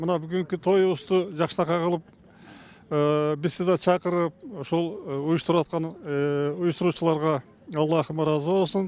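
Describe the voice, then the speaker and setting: At a moderate pace, a man talks in a high pitch with monotone, flat intonation. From Kyrgyzstan, Talas. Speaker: event attendee interviewed. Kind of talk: street interview. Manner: halting.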